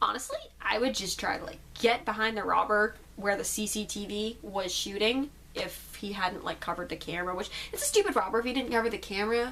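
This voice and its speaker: A woman's fairly high voice with ordinary pitch variation at a very fast pace, with noticeable background noise. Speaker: YouTuber. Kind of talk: casual Q and A vlog.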